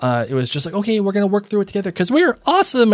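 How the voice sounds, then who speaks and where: Here a man talks in a high voice that swings very widely in pitch. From Ireland. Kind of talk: casual chat.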